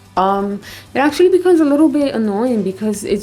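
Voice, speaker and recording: Quiet and dark, mellow in tone, a woman speaks with lively intonation amid audible room echo. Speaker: artist and art vlogger. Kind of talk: tutorial. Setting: bathroom at home.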